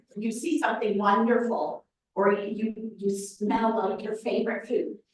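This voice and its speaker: With a fairly high voice, a woman talks at a moderate speed. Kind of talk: presentation to a live audience. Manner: animated.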